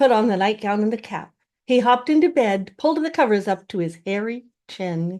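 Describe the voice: With lively intonation, the plain reading aloud comes through over a quiet background.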